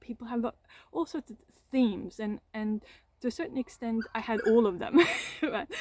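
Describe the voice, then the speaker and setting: A woman speaks with a non-native accent and a dark, mellow tone. The sound is dry and close, with no echo. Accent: foreign accent in English. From Austria. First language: German (Austrian). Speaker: trauma coach, content creator. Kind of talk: personal reflective monologue to camera. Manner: halting, many repetitions and fillers.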